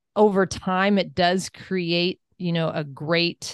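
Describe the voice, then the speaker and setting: A woman with an American accent speaks very slowly at a fairly low pitch. The sound is dry and close with no echo, over a quiet background. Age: 50s. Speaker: wellness coach and entrepreneur. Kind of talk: interview.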